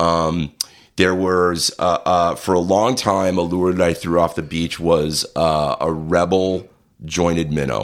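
Very deep and low in pitch, a man speaks at a very slow pace with fairly even intonation. The recording is very clean, with a silent background. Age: 50s. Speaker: fishing competitor and sculptor for films. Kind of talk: casual chat.

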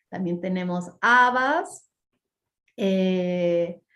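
A woman speaks at a fairly low pitch. Her pitch variation is ordinary. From Peru, Lima. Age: 40s. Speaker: mindfulness teacher and cook. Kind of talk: podcast interview.

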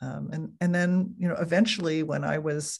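A woman with an American accent speaks at a moderate pace in a very deep, low voice with vocal fry. The background is quiet. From New Jersey. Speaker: author and writing teacher. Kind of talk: interview. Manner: calm, warm.

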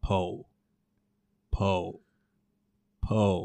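A man speaks in a put-on character voice pitched fairly low.

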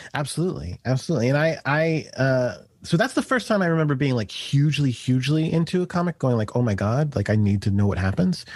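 A man with a somewhat breathy, fairly high voice talks very fast with lively intonation and very even loudness, in a very clean recording with a silent background. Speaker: comic book editor. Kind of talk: casual chat.

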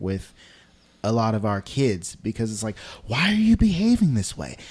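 At a moderate pace and medium pitch, a man speaks in a normal speaking voice, captured in a very clean recording with a silent background. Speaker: podcast host and high school worker. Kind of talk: casual interview.

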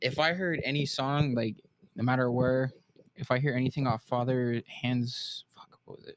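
A man talks at a moderate pace in a normal speaking voice, medium in pitch with fairly even intonation. His loudness swings widely. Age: 20s. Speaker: podcast guest. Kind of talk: casual chat.

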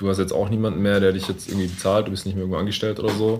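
A man speaks very fast in a very deep, low voice with monotone, flat intonation. The room echo is audible. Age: 30s. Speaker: podcast host. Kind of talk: casual chat. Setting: meeting room in coworking space. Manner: deeper podcast voice.

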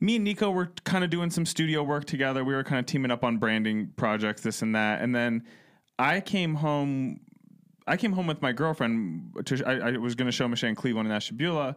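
An unremarkable speaking voice with an American accent moves at a fairly quick pace with lively intonation and very even loudness, on a very clean recording with a silent background. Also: man, medium pitch for a man. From Ohio. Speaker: podcast co-host. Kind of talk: casual chat.

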